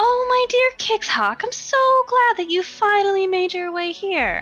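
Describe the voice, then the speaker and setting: An extremely high-pitched put-on character voice over faint music in the background. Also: moderate pace. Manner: warm, welcoming, calling out.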